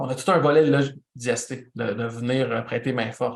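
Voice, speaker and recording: Audible room echo surrounds a man who speaks in a medium pitch at a moderate pace with fairly even intonation. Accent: Quebec. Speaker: event producer and instructor. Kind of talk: lecture.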